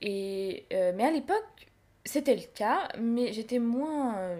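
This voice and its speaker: Her voice is fairly high in pitch for a woman. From France. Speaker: immigrant sharing her story. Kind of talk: interview. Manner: halting.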